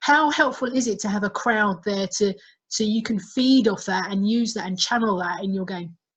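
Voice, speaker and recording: A woman with an Essex accent speaks at a medium pitch, somewhat breathy. Her pitch varies in an ordinary way over a quiet background. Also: moderate pace. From Essex, England. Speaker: interviewer. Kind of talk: interview. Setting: video call.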